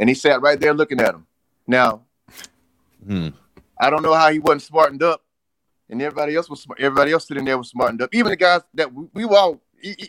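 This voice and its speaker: Very fast speech from a man with an American accent, fairly high in pitch, with lively intonation and long, frequent pauses. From US South, South Carolina. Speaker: former pro wrestler and army veteran. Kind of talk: interview.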